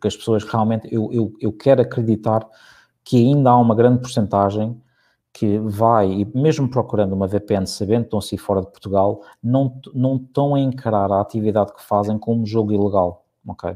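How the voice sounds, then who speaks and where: A man with a dark, mellow tone and fairly low pitch speaks at a moderate pace with fairly even intonation over a quiet background. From United States (raised there by Portuguese immigrant parents until 16). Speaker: marketing director at a betting company. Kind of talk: interview. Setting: live streamed broadcast. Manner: hesitant, many repeated words and fillers.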